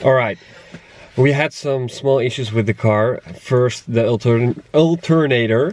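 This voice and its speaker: Speaking at a fairly slow pace, a man with a Dutch accent uses a medium pitch and ordinary pitch variation. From Netherlands. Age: 20s. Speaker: travel vlogger. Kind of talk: vlog narration.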